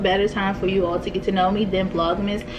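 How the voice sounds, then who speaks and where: Amid noticeable background noise and audible room echo, a woman speaks at a very fast pace. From Maryland, Prince George's County. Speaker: vlogger. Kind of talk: casual chat. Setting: home kitchen table. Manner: chewing while talking.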